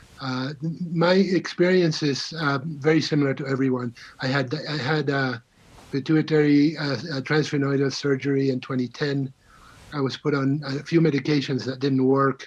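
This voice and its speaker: Here a man with a fairly high pitch speaks at a moderate pace with fairly even intonation. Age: 60s. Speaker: patient advocate. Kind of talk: testimony. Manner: halting.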